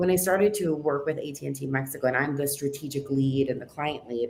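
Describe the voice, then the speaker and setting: A woman speaks with ordinary pitch variation. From US West Coast, Los Angeles (Downey). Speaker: marketing agency executive. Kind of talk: podcast interview. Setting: livestream.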